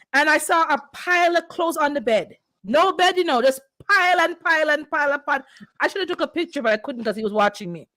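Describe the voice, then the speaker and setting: A woman speaks in a raised, projected voice at a very fast pace and a high pitch. Her tone is animated, bright and sharp, with lively intonation. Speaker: livestream host, landlord. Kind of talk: casual livestream chat.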